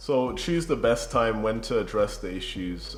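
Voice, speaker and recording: A man's voice carries audible room echo. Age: young. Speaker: relationship vlogger. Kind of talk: casual advice chat. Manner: calm, even level.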